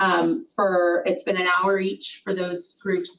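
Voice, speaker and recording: Fairly slow speech from a woman, noticeable background noise behind it. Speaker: executive director of educational collaborative. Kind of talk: board meeting report. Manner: loud.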